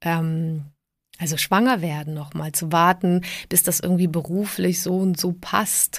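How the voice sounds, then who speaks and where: In a very clean recording with a silent background, a woman with a fairly low pitch speaks at a fairly slow pace with fairly even intonation in an unremarkable speaking voice. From southern Germany (emigrated from Prague at age 7). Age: 40s. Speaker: podcast host. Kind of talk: solo podcast monologue.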